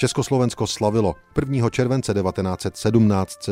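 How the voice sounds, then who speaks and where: This man speaks in a solemn tone with ordinary pitch variation. There is noticeable background noise. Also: dry, close sound with no echo. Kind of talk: newsreel-style historical narration. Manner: solemn, formal, stately.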